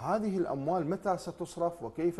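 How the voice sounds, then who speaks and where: A man with lively intonation. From Iraq. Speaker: social researcher; talk show guest. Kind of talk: TV talk show debate. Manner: animated. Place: studio. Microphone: lapel.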